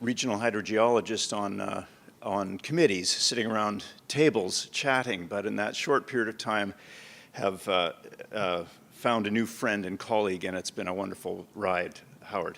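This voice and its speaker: Speech comes at a medium speed. The rise and fall of pitch is ordinary. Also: man. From Canadian Prairies, Winnipeg. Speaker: professor. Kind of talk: lecture. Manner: halting, many fillers.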